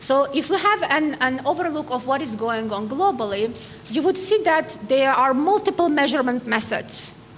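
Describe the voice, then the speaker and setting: Noticeable background noise sits behind a woman speaking with an Armenian accent. Her intonation is lively. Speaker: keynote speaker, quality assurance expert. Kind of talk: lecture.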